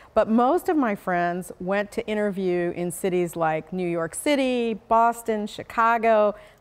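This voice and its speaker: A woman with an unremarkable speaking voice talks at a fairly slow pace, at medium pitch with ordinary pitch variation. She barely pauses, on a very clean recording with a silent background. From Arizona, US. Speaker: attorney. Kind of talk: interview.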